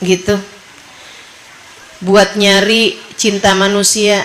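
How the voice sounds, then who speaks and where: A woman speaks at a medium pitch. Noticeable background noise and audible room echo surround her voice. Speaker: female Islamic preacher. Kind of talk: sermon to women's study group.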